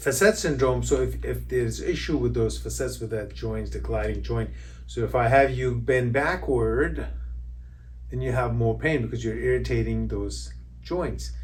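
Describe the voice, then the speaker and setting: A man at a moderate pace, with audible room echo. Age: 60s. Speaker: chiropractor. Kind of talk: educational explainer. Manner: halting, many fillers.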